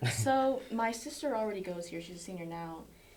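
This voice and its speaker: There is audible room echo and noticeable background noise as a woman talks fairly quickly with an American accent. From Florida, US. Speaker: college soccer player. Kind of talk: casual chat.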